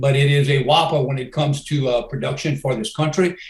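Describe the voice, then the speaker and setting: A man with fairly high pitch and a somewhat breathy voice speaks at a fairly quick pace, his intonation fairly even. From Louisiana. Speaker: former federal energy regulator. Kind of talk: interview.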